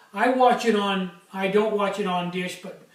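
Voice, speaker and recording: In a room with audible echo, a man talks in a high voice with fairly even intonation. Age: 60s. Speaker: small craftsman, stove maker. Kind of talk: casual vlog. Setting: workshop. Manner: hesitant, many fillers.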